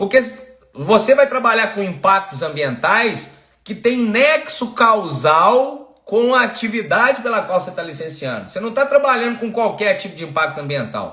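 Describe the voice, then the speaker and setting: In a room with audible echo, a man with a high pitch raises and projects his voice at a moderate pace, his animated tone and lively intonation carried by big swings in loudness. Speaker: environmental consultant and online course host. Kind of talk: live-stream lecture. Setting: live stream. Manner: animated, engaging.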